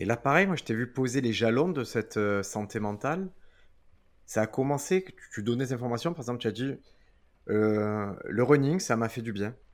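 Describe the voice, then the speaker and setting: Lively intonation marks this man's medium-pitched voice at a moderate pace. He leaves long, frequent pauses on a very clean recording with a silent background. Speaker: podcast host and comedian. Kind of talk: casual chat. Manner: puts on a presenter voice for intros.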